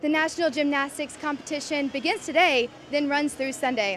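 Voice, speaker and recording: Music plays in the background as a woman speaks at a high pitch. She talks at a fairly quick pace with ordinary pitch variation. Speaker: news reporter and anchor. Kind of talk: TV news field report. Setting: outdoors on location.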